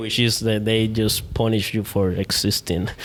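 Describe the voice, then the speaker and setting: With noticeable background noise behind him, the man holds a medium pitch and fairly even intonation. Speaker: merchant marine graduate. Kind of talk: casual chat. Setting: studio.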